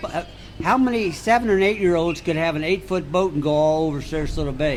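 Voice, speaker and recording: The talking moves along fairly quickly while clear background noise sits underneath. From Sarasota, Florida. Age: 70s. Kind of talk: interview answer.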